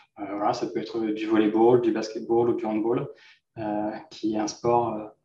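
The voice belongs to a man. His words carry audible echo from the room. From Normandy, France. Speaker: entrepreneur. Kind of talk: interview.

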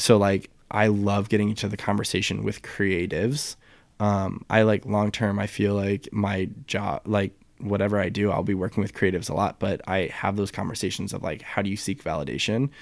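A man with an ordinary speaking voice talks fairly quickly at fairly low pitch with fairly even intonation, on a very clean recording with a silent background. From US Midwest, St. Louis, Missouri. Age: 20s. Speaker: retail employee and photographer. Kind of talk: casual chat.

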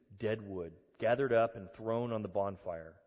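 In an ordinary speaking voice, a man talks at a medium pitch. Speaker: pastor. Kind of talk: sermon; guided meditation. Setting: church. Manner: calm, slow, soothing; warm, conversational.

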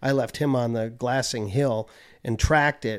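An ordinary speaking voice comes from a man with an American accent, at a medium pitch with ordinary variation. He talks at a moderate pace on a very clean recording with a silent background. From US Midwest, Chicago suburbs. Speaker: land manager and broker. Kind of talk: casual chat.

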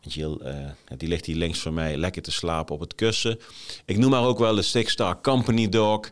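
On a very clean recording over a silent background, the speech moves at a fairly quick pace with lively intonation. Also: man. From Nijmegen area, eastern Netherlands. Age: 40s. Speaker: leadership podcaster, former military officer. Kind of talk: solo podcast monologue. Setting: office, on camera. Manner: hesitant, many fillers.

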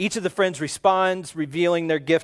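A man talks in an animated tone at a fairly quick pace, his pitch high. The recording is very clean with a silent background and a dry, close sound with no echo. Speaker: pastor. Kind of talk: sermon. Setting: church.

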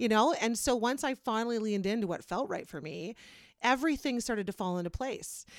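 On a very clean recording with a silent background, a woman talks fairly quickly in a Canadian accent. Her fairly high voice has lively intonation and an animated tone. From Kitchener-Waterloo, Ontario, Canada. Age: 40s. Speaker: podcast host. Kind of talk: casual chat.

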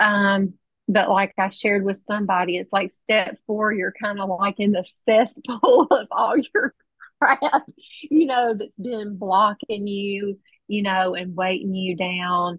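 Somewhat breathy speech at a fairly slow pace, with ordinary pitch variation. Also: woman, medium pitch for a woman. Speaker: meeting member sharing. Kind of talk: recovery share.

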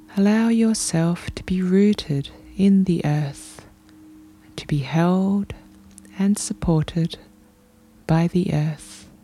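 A woman's soothing voice at a medium pitch with ordinary pitch variation, very slow pace and long, frequent pauses, over noticeable background noise. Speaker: podcast host and meditation guide. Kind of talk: guided meditation. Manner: slow, soothing; calm, gentle, unhurried, with long pauses.

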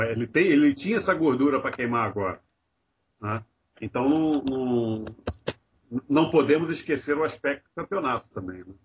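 A man with a fairly high, somewhat breathy voice speaks at a moderate pace with lively intonation and long, frequent pauses. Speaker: podcast co-host. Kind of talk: casual chat.

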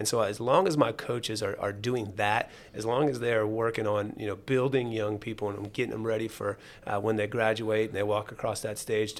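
Using an ordinary speaking voice, a man with an American accent talks fairly quickly at medium pitch with fairly even intonation. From Jacksonville, Florida. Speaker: high school athletic director. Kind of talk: casual interview. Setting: radio studio.

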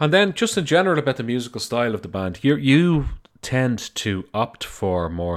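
With an Irish accent, a man talks at a moderate pace, his pitch swinging very widely. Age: 30s. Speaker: podcast host. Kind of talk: interview.

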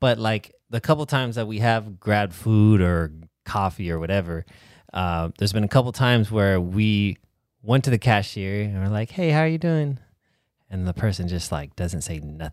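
With an unremarkable speaking voice, a man talks at a moderate pace in a fairly low pitch. His intonation is lively. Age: 30s. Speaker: podcast co-host. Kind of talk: casual chat.

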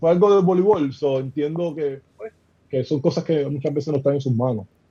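At a moderate pace, a man with a fairly high pitch speaks in a dark, mellow, somewhat breathy voice with ordinary pitch variation. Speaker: professional basketball player. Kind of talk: casual chat.

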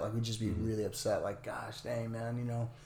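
Somewhat breathy and medium in pitch, a man speaks with an American accent. Audible room echo is present. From Northern California, near Oregon border. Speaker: lawn care business owner. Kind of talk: casual interview.

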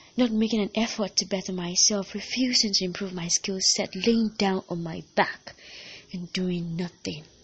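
Her medium-pitched voice is somewhat breathy, with an intense tone and fairly even intonation from this woman. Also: moderate pace. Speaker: podcast host and poet. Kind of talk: performed spoken-word poem, confessional and earnest. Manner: intense, immersed in the mood.

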